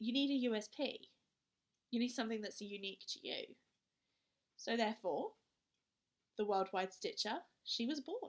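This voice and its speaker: In a British accent, a woman speaks at a fairly high pitch. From southern England. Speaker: cross-stitch vlogger. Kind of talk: casual show-and-tell vlog.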